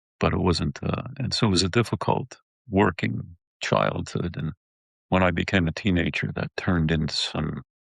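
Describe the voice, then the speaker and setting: Speaking at a moderate pace, a man uses lively intonation in a very deep, low voice with vocal fry. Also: dry, close sound with no echo. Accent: American. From upstate New York. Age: 70s. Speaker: war veteran. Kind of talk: interview. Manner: halting.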